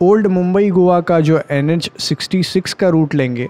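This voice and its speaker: His pace is very slow. The man's pitch shows ordinary variation. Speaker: motorcycle vlogger. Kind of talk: casual vlog chat. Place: motorbike. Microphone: helmet.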